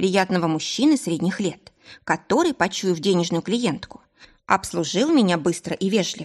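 Someone reads in a natural voice, the intonation lively throughout.

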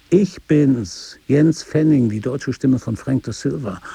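A man's gravelly, put-on character voice at a slow pace, medium in pitch, dark and mellow, with vocal fry, a husky, rough edge and ordinary pitch variation

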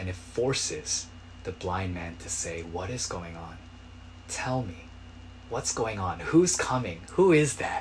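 This man's very deep, low voice is somewhat breathy, with lively intonation, big swings in loudness and long, frequent pauses. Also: fairly slow pace. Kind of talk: sermon. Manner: earnest, exhortative preaching, urgent imperatives.

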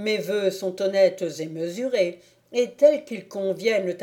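With lively intonation, someone reads aloud in a natural voice.

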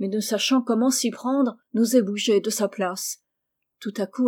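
Quiet background behind plain reading aloud

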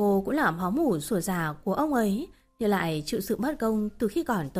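What we hear is plain reading aloud from start to finish.

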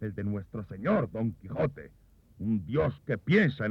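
Lively intonation in a plain read-aloud delivery

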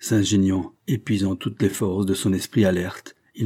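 The background stays quiet. Over it, a natural voice reads aloud.

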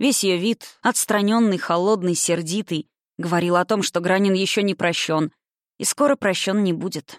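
Quiet background, plain reading aloud

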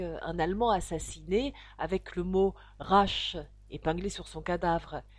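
Natural reading with ordinary movement in pitch

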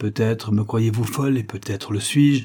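Delivered in an unforced reading voice. The pitch varies in an ordinary way.

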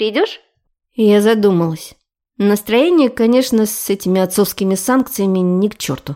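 This is reading aloud in a natural voice, with ordinary pitch variation and a quiet background.

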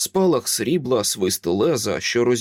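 The clip features a natural reading voice. That voice carries the whole recording.

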